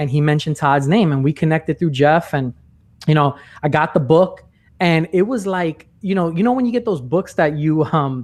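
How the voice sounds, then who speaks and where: A man speaks with a New York accent. His pitch is fairly high, with ordinary pitch variation. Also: moderate pace. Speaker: sales trainer and podcast host. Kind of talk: podcast interview. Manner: animated.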